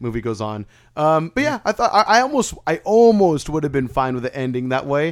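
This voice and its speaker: Fairly high in pitch, a man speaks fairly quickly with very wide pitch swings on a very clean recording with a silent background. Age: 30s. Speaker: podcast host. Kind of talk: casual chat. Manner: casual, slangy.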